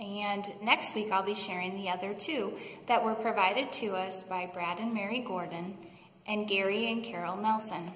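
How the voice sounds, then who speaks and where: A woman at a moderate pace with ordinary pitch variation, amid audible room echo. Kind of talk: announcement to congregation. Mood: warm, calm. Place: church. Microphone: phone near.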